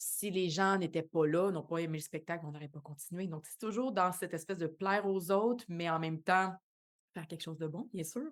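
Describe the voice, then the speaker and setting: A woman with a Quebec accent at a fairly low pitch, fairly quick, with ordinary pitch variation and big swings in loudness, on a very clean recording with a silent background. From Quebec, Montreal shore. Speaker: actress and dancer. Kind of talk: podcast interview. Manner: hesitant, many fillers.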